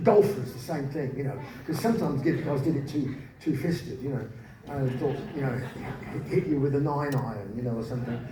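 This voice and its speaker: A man speaks fairly quickly while noticeable background noise fills the recording. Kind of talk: live spoken word storytelling. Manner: humorous, anecdotal.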